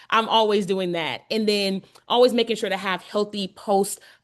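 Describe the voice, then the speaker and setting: A woman's normal speaking voice at medium pitch and moderate pace, with fairly even intonation and a quiet background. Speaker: shoe brand founder and workshop speaker. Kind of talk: workshop presentation.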